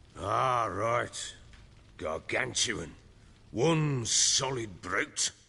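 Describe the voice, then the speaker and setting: In a put-on character voice, a man talks raspily at a medium pitch with lively intonation. He moves at a very slow pace, with long, frequent pauses. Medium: video game. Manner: coarse, swearing, blustering.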